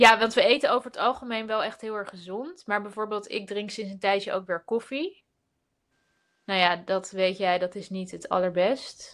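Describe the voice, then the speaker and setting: A woman's unremarkable speaking voice at medium pitch, moderate pace, ordinary pitch variation and big swings in loudness. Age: 30s. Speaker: entrepreneur and writer. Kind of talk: casual live webinar chat. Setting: video call webinar.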